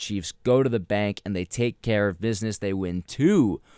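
With a normal speaking voice and ordinary pitch variation, a man talks at a fairly slow pace. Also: dry, close sound with no echo. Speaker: sports podcast host. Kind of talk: casual sports discussion. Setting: studio.

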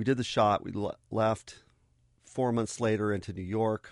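Someone with an American accent talks fairly quickly in a plain, everyday voice with fairly even intonation over a quiet background. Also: man. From Arizona, US. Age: 50s. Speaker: photographer. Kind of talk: radio interview. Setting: radio studio.

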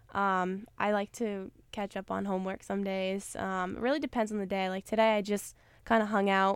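In a very clean recording with a silent background, a woman with an American accent speaks at a fairly quick pace and a medium pitch, her intonation monotone and flat. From Maine, US. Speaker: college basketball player. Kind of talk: interview.

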